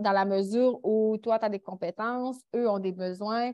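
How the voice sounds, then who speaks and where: In a Quebec accent, a woman speaks at a fairly slow pace, her fairly high voice showing ordinary pitch variation. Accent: Québécois. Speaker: international volunteer. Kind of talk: panel discussion.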